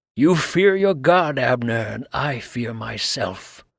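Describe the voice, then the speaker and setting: A man growls at a medium pitch with lively intonation. His pace is fairly slow. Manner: sharp staccato.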